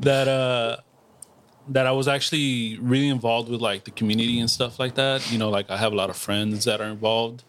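At a fairly quick pace, a man talks in a medium pitch with fairly even intonation. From Los Angeles, Boyle Heights. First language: Spanish. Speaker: soccer fan and meme page creator. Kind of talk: casual chat. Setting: outdoors in a backyard.

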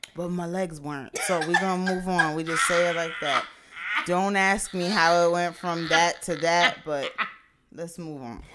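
Her fairly low voice has a bright, sharp tone, big swings in loudness, ordinary pitch variation and a moderate pace. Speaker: podcast co-host. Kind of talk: casual chat.

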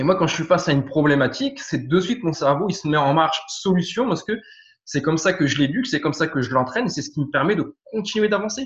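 Lively intonation at a very fast pace. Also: man, high pitch for a man. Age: 30s. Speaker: firefighter and property investor. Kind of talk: interview testimony. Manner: hesitant, many fillers and repetitions.

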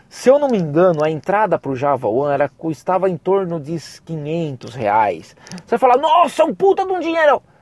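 A man's high, animated voice at a moderate pace with very wide pitch swings, dry and close with no echo, over noticeable background noise. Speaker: podcast host and university professor. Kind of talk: pep talk. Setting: solo podcast. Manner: animated, fired-up and emphatic, casual with slang and swearing.

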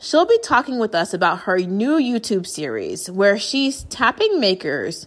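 In a very clean recording with a silent background, the speaker talks at a fairly slow pace. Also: woman. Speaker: podcast co-host. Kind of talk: interview, podcast host. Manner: excited, animated.

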